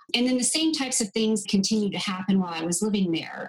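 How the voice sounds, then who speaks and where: A woman with an American accent at a medium pitch, very fast, with ordinary pitch variation and noticeable background noise. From US. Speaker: medical travel business co-owner. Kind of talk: interview.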